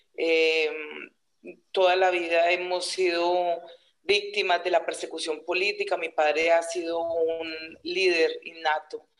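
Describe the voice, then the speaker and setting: In a monotone, flat intonation, the words come out at a very slow pace. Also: woman, fairly low pitch for a woman. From Colombia, Huila department. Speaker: peasant social leader and rural teacher. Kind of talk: interview.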